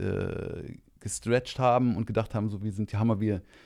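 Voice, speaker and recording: A man's dark, mellow voice at medium pitch, with fairly even intonation, on a very clean recording with a silent background. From Rhineland, Germany (Monheim). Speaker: kung fu teacher. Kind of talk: casual chat.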